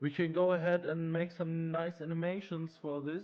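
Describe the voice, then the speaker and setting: Very slow speech in a German accent. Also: man. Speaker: YouTuber, AI game developer. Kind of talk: casual devlog screen-share talk. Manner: casual with many fillers and repetitions.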